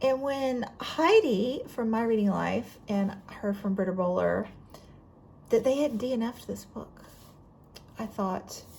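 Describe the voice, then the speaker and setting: In a Southern US accent, a woman speaks at a fairly slow pace with ordinary pitch variation and long, frequent pauses. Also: fairly high pitch for a woman. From Florida, US South. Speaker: book vlogger. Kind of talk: casual chat.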